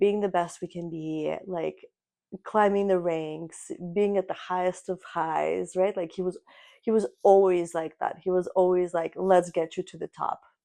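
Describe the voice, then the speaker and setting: With a Russian accent, a woman speaks at a medium pitch in a dark, mellow tone. Her intonation is flat and monotone. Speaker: podcast co-host. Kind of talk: casual chat.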